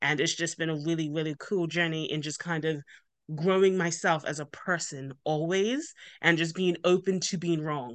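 With a Bermudian accent, a woman talks at a moderate pace in a fairly low pitch and fairly even intonation against a quiet background. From Bermuda. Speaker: business owner. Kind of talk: interview.

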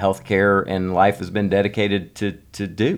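Talking at a fairly quick pace, a man uses a normal speaking voice with a fairly low pitch and fairly even intonation. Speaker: holistic doctor. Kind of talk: casual interview chat.

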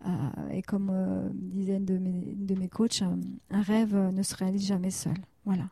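A woman speaks at a moderate pace with a medium pitch and a dark, mellow, somewhat breathy tone. Her intonation is monotone and flat, broken by long, frequent pauses. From France, Annecy (Haute-Savoie). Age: 40s. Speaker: therapist. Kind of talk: interview.

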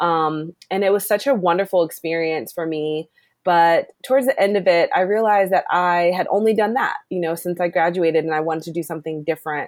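Speaking fairly quickly with hardly any pauses, a woman with a Maryland accent has a fairly low voice and ordinary pitch variation, in a very clean recording with a silent background. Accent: Mid-Atlantic American (Maryland). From US, Maryland (Glen Burnie). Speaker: environmental program manager. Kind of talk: interview.

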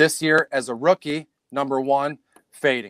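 In a very clean, dry, close recording with a silent background and no echo, a man with an American accent and medium pitch speaks at a fairly slow pace in a plain, everyday voice. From Detroit, US Midwest. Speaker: fantasy sports analyst. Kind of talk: casual chat. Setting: live stream recording.

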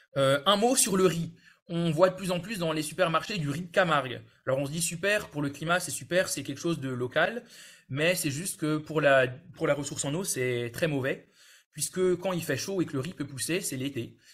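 A plain, everyday voice talks with ordinary pitch variation, keeping a moderate pace. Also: man, fairly high pitch for a man. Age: 20s. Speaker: water and environment engineer. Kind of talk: webinar presentation.

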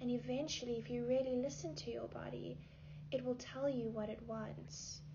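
A woman speaks at a moderate speed in a room with audible echo, and noticeable background noise is present. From South Africa. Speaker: actor, model and yoga instructor. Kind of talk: casual chat. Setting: in a home.

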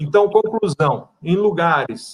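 This man's pitch rises and falls in an ordinary way. He is the one talking. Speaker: wireless internet provider consultant and instructor. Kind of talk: casual live-stream interview. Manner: blunt, direct.

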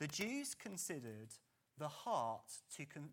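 A man speaks with an English accent. His pitch swings very widely. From England. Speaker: pastor. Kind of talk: sermon. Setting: church.

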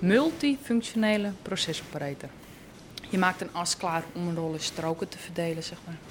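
Over noticeable background noise, a woman with a fairly low pitch speaks at a moderate pace, her intonation lively and her loudness swinging widely. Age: 20s. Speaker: process operator at steelworks. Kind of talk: interview testimony.

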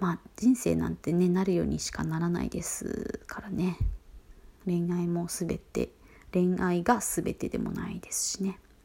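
A woman with a plain, everyday voice speaks at a fairly slow pace, her fairly low pitch carried by fairly even intonation. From Fukuoka, Kyushu. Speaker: podcast host. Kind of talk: solo talk monologue, evening broadcast. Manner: polite, formal-casual, conversational.

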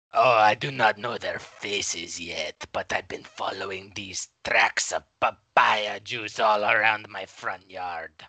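A put-on, raspy character voice from a man, fairly low in pitch, fairly slow and fairly even in intonation, with a dry, close sound and no echo. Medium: audio drama. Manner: formal, slow, ponderous politeness.

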